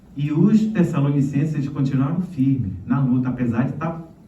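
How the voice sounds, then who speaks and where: A man's pitch is medium, with ordinary variation. His voice carries audible room echo. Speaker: pastor. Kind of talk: sermon.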